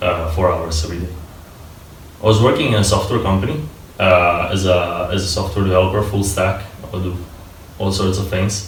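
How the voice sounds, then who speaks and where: Over noticeable background noise and audible room echo, a man with a very deep, low voice speaks with fairly even intonation and long, frequent pauses. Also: fairly quick pace. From Italy (Turin), born in Moldova. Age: 20s. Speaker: software developer, university dropout. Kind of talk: interview. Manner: hesitant, many fillers.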